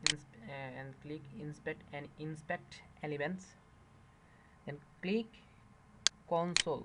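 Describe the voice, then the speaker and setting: A man with a fairly high pitch talks at a fairly slow pace. He leaves long, frequent pauses, and his pitch variation is ordinary. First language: not English. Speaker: tech tutorial youtuber. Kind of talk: screen-recorded tutorial. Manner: halting, many fillers.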